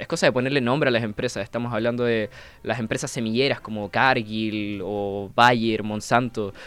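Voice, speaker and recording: A man speaks at medium pitch in an unremarkable speaking voice. His intonation is fairly even and his pace moderate. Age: 20s. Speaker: climate activist and engineer. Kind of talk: radio interview.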